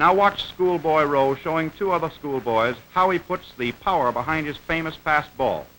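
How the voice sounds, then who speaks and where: An unremarkable speaking voice from a man, fairly high in pitch, at a moderate pace with hardly any pauses and ordinary pitch variation. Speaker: newsreel narrator. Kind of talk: vintage newsreel-style instructional narration. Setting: old film soundtrack.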